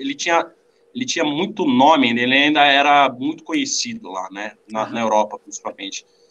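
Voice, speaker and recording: Speaking at a fairly quick pace, a man with a fairly high pitch uses lively intonation and a bright, sharp tone. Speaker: drummer. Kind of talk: casual chat. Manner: halting. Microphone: poor mic, noisy sound.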